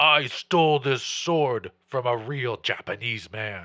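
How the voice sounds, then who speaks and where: A raspy, put-on character voice from a man at medium pitch. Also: fairly slow pace. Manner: gruff, boastful.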